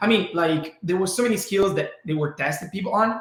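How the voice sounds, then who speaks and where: There is audible room echo as a man speaks with an Italian accent. His pace is moderate and his pitch variation is ordinary. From Italy. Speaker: learning program co-founder. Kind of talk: webinar presentation. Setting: webinar.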